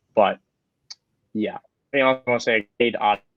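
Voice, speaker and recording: An unremarkable speaking voice delivers fairly even intonation at a fairly quick pace, with a dry, close sound with no echo. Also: man. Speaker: fantasy football podcast host. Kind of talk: casual podcast analysis.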